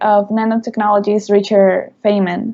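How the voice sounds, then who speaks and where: A woman with a Spanish accent speaks in a monotone, flat intonation. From Mexico. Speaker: university student. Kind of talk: interview.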